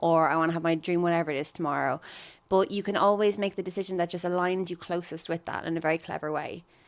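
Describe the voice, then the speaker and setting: A woman's fairly low voice at a very fast pace, fairly even in intonation, in a very clean recording with a silent background. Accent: Irish. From Ireland. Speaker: stand-up comedian. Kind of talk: podcast interview answer.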